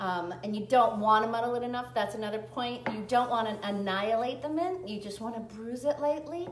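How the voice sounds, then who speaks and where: Speaking fairly quickly with hardly any pauses, a woman with an American accent uses a fairly high pitch and ordinary pitch variation. Room echo is audible, and there is noticeable background noise. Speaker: cocktail and cooking video host. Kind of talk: live cooking tutorial. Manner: chatty, self-correcting.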